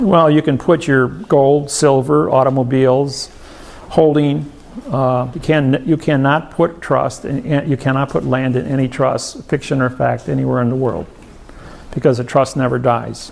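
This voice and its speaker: A man with a medium pitch speaks in an ordinary speaking voice with ordinary pitch variation. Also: moderate pace. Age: 60s. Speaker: seminar speaker. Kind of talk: seminar Q&A.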